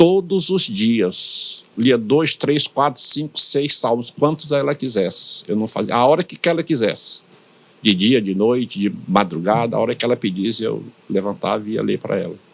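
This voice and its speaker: With vocal fry in his voice, a man speaks at a moderate pace and swings his pitch very widely. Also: medium pitch for a man. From Brazilian Northeast, São Luís, Maranhão. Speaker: pastor. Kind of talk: interview. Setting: studio podcast.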